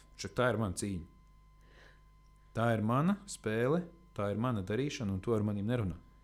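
Over background music, this man talks in a fairly low voice with normal rises and falls in pitch. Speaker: medic and first aid instructor. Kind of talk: casual interview.

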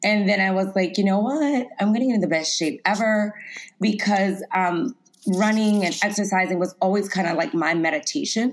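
With an American accent and a normal speaking voice, a woman talks at a moderate pace in a medium pitch, showing ordinary pitch variation and very even loudness. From US South, Lafayette, Louisiana. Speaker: personal trainer and plant-based chef. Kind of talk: interview.

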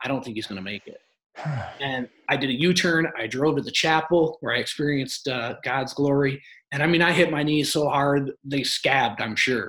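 With an American accent, a man speaks at a moderate pace. His pitch is fairly high, with ordinary pitch variation. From Michigan. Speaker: real estate investor. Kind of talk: interview. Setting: live stream. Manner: halting, many fillers.

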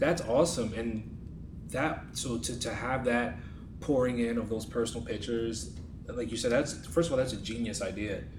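The voice moves at a moderate pace with ordinary pitch variation, with noticeable background noise. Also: man, medium pitch for a man. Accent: American. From New York. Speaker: podcast co-host. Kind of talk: interview panel discussion. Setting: in-person at college campus.

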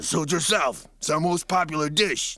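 A man's put-on character voice, high-pitched and raspy, with fairly even intonation at a moderate pace. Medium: read story.

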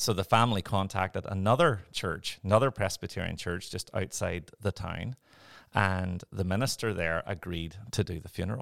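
In a very clean recording with a silent background and a dry, close sound free of echo, a man with a Northern Irish accent speaks in a very deep, low pitch. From Northern Ireland. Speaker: pastor. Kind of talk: interview conversation.

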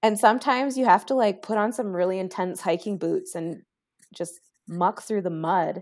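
A woman speaks at a moderate pace with ordinary pitch variation and a medium pitch. She has a plain, everyday voice. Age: 20s. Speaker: natural health educator. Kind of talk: casual chat. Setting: remote recording at computer.

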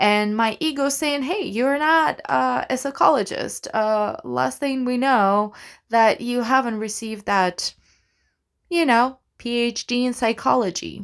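Speaking at a fairly slow pace with a non-native accent, the voice has an animated tone and ordinary pitch variation. The recording is very clean, with a silent background. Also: woman, high pitch for a woman. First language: not English. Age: 30s. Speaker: actor and podcast host. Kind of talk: solo monologue podcast. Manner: animated, rambling with fillers and laughs.

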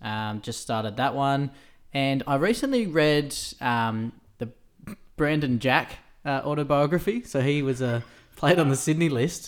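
A man with an Australian accent, long and frequent pauses, and a very clean recording over a silent background. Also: fairly high pitch for a man, ordinary pitch variation, fairly slow pace. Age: 30s. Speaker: podcast co-host. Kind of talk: casual chat.

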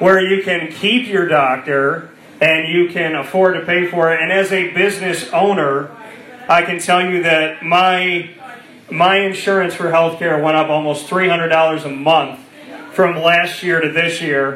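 With audible room echo, a man talks at a fairly slow pace in a bright, sharp tone and fairly even intonation. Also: fairly high pitch for a man.

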